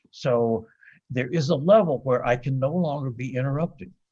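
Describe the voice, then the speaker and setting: Somewhat breathy, a man's voice sits at a medium pitch. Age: 70s. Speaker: author and recovering addict. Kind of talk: podcast interview. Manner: halting, with fillers and repetitions.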